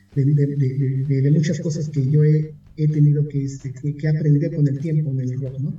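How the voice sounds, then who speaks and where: A man speaks slowly in a fairly high pitch with monotone, flat intonation. Audible room echo surrounds the recording. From Mexico City. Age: 40s. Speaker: rock music documentarian. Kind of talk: interview.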